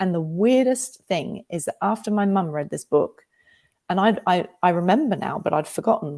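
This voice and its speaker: A woman with a slight Australian accent talks at a moderate pace and a medium pitch, her dark, mellow tone carrying lively intonation. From Australia, England and America. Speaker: novelist. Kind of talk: interview. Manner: animated, emotional.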